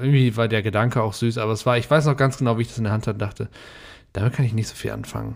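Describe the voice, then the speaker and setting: Talking very fast, a man keeps his medium-pitched voice fairly even in intonation. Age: 30s. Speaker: podcast host. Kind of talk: casual chat.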